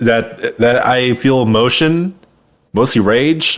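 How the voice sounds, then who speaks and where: Speaking very slowly, a man at a medium pitch keeps his loudness very even and his pitch variation ordinary, on a very clean recording with a silent background. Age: 20s. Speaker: podcast co-host. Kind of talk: casual chat.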